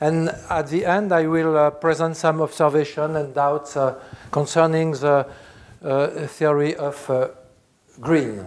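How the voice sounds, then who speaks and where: A man with a Swiss French accent, fairly high pitch, fairly even intonation, a fairly slow pace and long, frequent pauses. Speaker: philosophy professor. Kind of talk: lecture. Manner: halting, many filler sounds.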